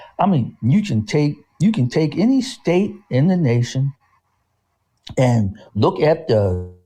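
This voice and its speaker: A man speaks very slowly with long, frequent pauses, his somewhat breathy voice dark and mellow in tone, fairly high in pitch, swinging very widely in pitch while keeping very even loudness. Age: 60s. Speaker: community activist discussing Kwanzaa. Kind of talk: casual discussion. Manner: halting, repeats words.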